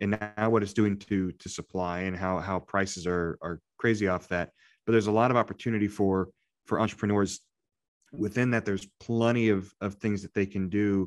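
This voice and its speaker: An unremarkable speaking voice from a man with an American accent, fairly low in pitch, fairly quick, with fairly even intonation and a dry, close sound with no echo. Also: quiet background. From Indiana. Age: 30s. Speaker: podcast co-host, small business lender. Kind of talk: casual chat.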